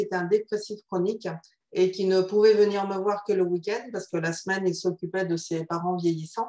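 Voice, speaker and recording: In a Spanish accent, a woman talks at a fairly quick pace with monotone, flat intonation. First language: Spanish (speaking French). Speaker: psychotherapist. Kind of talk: interview.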